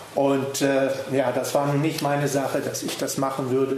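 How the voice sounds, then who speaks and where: Set against noticeable background noise and audible room echo, a man speaks in a fairly high pitch. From Namibia. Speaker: history speaker. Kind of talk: lecture. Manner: hesitant.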